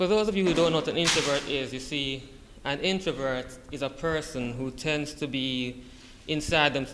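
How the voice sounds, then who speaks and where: A man speaks at a fairly high pitch and moderate pace with ordinary pitch variation. Noticeable background noise is audible. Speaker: college student. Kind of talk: class speech. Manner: halting.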